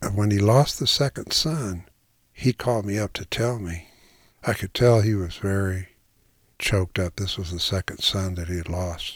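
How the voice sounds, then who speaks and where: Recorded very cleanly against a silent background, a man with a fairly low pitch sounds somewhat breathy, using ordinary pitch variation at a moderate pace. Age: 70s. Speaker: retired English instructor and writer, blind since childhood. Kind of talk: personal testimony.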